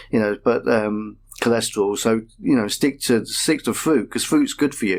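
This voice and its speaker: A man's medium-pitched voice in a Manchester accent, with ordinary pitch variation and a moderate pace, on a very clean recording with a silent background. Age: 50s. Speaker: patient. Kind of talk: radio interview.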